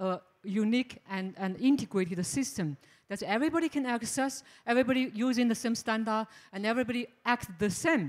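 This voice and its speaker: A woman's fairly high voice over a quiet background, an ordinary speaking voice. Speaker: venture founder. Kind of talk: panel discussion. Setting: stage with audience. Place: stage.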